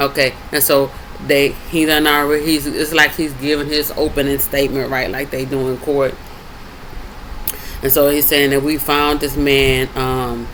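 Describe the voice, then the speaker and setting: A man with a fairly high pitch talks at a moderate pace in a monotone, flat intonation, with noticeable background noise behind him. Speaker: bible study video host. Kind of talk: casual bible teaching.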